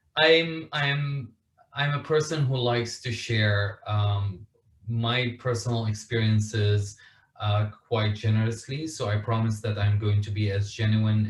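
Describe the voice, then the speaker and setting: A somewhat breathy voice with an Arabic accent, a fairly slow pace, and ordinary pitch variation. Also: man. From Syria, Damascus. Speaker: author and refugee advocate. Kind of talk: interview.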